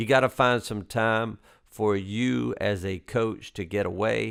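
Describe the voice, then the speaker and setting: In a very clean recording with a silent background, a man speaks at medium pitch with a Southern US accent. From US South. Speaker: basketball coach, podcast host. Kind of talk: casual interview chat.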